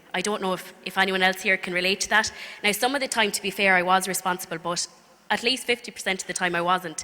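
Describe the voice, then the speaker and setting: A woman with a County Clare accent, medium pitch and a very fast pace, against noticeable background noise. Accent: Irish, County Clare. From Ireland, County Clare. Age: 20s. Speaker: speaker giving faith testimony. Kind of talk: testimony. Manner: hesitant, many fillers.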